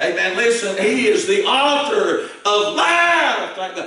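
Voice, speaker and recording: Here a man speaks with a Southern Appalachian accent. Audible room echo surrounds his voice. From East Tennessee, Appalachia. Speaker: Baptist preacher. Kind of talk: old-fashioned fiery sermon. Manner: impassioned, emphatic, frequent amens. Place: church.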